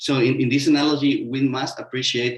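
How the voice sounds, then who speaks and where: A man with a Mexican accent talks in a monotone, flat intonation, his voice somewhat breathy. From Mexico. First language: Spanish. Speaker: sustainable construction consultant. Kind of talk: webinar panel talk. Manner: halting, many fillers.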